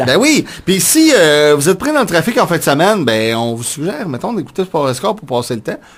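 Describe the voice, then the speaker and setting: At a fairly quick pace and with hardly any pauses, a man speaks at a fairly high pitch that swings very widely. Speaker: radio show co-host. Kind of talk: morning radio show banter.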